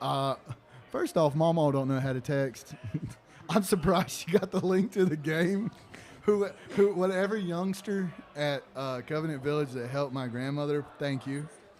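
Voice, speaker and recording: Moderately paced speech from a man in a fairly high voice, ordinary in pitch variation, over noticeable background noise. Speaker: high school football commentator. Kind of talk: live commentary. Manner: loud.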